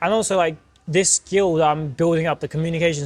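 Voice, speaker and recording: A man with a British accent talks at a very fast pace in a fairly high pitch. His intonation stays fairly even. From Turkey. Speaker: podcast co-host. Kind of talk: casual chat. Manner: mumbling.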